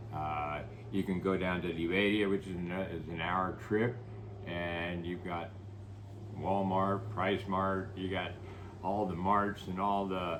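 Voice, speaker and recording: With audible room echo, a man with an American accent speaks fairly slowly in a very deep, low voice and a monotone, flat intonation. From United States. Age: 80s+. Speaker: real estate developer. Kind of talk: interview. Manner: halting, many fillers.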